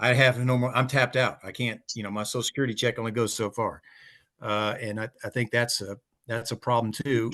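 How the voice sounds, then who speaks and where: Over a quiet background, a man speaks fairly quickly at a medium pitch with a bright, sharp tone. His intonation is monotone and flat, and the sound is dry and close with no echo. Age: 80s+. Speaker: working group member, retiree. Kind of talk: small group meeting discussion. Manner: halting, many fillers and repetitions.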